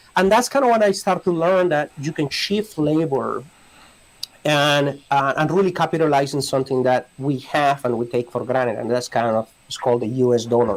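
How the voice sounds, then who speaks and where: A man speaks at a moderate pace with a Spanish accent. His pitch is fairly high, and his intonation is lively. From Colombia. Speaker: immigration lawyer. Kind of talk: podcast interview. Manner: halting, many repetitions.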